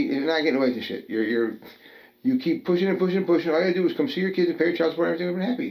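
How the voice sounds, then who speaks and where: Very fast and animated, a man talks at a high pitch with very wide pitch swings. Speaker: guest with prison and addiction history. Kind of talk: heated rant.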